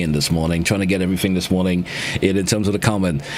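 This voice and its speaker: Noticeable background noise is present throughout. Over it, a man speaks at a very fast pace. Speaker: radio host. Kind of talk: radio call-in show.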